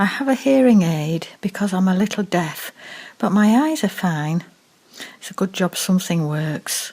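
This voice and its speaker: Somewhat breathy, a woman speaks at medium pitch and a moderate pace with lively intonation. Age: 80s+. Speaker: care home resident. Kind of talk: scripted narration.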